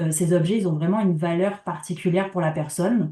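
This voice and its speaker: Against a quiet background, a woman's somewhat breathy voice has a dark, mellow tone, a fairly low pitch and ordinary pitch variation. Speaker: community organization project worker. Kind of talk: conference talk.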